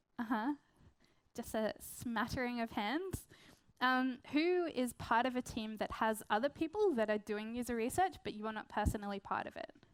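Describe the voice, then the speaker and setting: This woman has an Australian accent and a high pitch. Her pitch variation is ordinary. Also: moderate pace. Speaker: product designer and research consultant. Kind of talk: conference talk. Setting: stage with audience.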